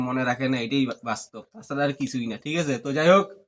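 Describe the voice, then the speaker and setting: A man in a fairly high pitch, an ordinary speaking voice. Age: 20s. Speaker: vlogger. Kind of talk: casual vlog talk.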